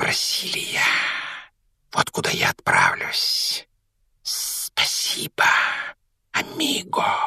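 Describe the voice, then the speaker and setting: A put-on character voice speaks at a very slow pace, raspy and hissing. Long, frequent pauses break up the speech. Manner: hissing, gleeful.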